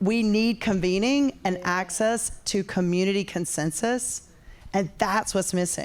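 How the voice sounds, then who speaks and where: The talk moves at a fairly slow pace with ordinary pitch variation and very even loudness. The recording is very clean, with a silent background. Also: woman, medium pitch for a woman. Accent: North Carolina. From North Carolina. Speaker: audience member at tech event. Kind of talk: audience question.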